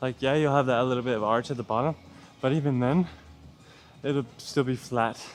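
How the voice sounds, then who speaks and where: Mumbling male speech at medium pitch and a moderate pace, with ordinary pitch variation over music in the background. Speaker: gym vlogger. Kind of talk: casual workout vlog. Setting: gym.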